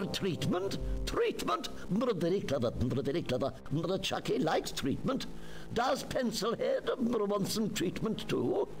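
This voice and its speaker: Over clear music in the background, a man puts on a high-pitched character voice and speaks at a fairly slow pace. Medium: game stream. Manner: giggly, repetitive, erratic.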